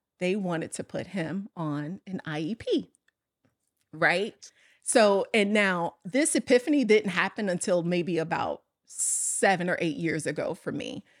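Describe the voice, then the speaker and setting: In an American accent, a woman with an unremarkable speaking voice talks at a medium pitch and a fairly slow pace with lively intonation, in a dry, close sound with no echo on a very clean recording with a silent background. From US Midwest, south side of Chicago. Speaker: corporate operations executive. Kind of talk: casual interview chat.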